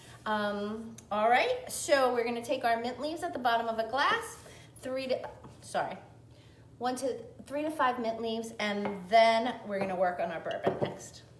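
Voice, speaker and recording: Over noticeable background noise and audible room echo, a woman with an American accent speaks with ordinary pitch variation. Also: fairly high pitch for a woman, moderate pace. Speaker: cocktail and cooking video host. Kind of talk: live cooking tutorial. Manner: chatty, self-correcting.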